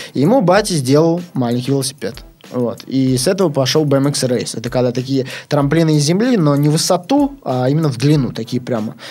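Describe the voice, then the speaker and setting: Music plays in the background while a man with a fairly high pitch talks at a fairly quick pace. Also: ordinary pitch variation. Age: 20s. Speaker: BMX rider. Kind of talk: casual chat.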